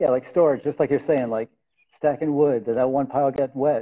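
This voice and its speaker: This man has an American accent and an unremarkable speaking voice, pitched fairly high. He talks at a fairly quick pace against a quiet background. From US South (Georgia). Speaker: lighting and furniture designer; guest. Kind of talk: casual interview conversation. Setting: video call livestream.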